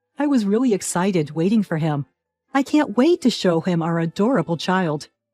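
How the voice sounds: Lively intonation from a natural reading voice, the background quiet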